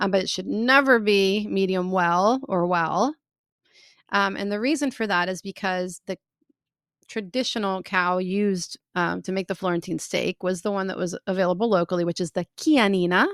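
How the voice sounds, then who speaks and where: In a dry, close recording with no echo, a woman with an American accent speaks at a moderate pace and medium pitch, using ordinary pitch variation. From United States. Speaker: food tour founder. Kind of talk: interview answer. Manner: casual, hesitant.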